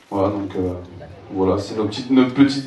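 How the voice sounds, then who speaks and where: Audible room echo and noticeable background noise come with this man's voice. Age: 30s. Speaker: local election candidate, house painter. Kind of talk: campaign presentation. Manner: halting, many fillers.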